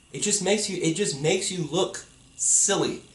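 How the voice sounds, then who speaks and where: A man shouts loudly at a high pitch in an animated tone. His pace is moderate, with noticeable background noise behind him. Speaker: YouTuber. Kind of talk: vlog rant. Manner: loud, yelling. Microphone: poor audio quality.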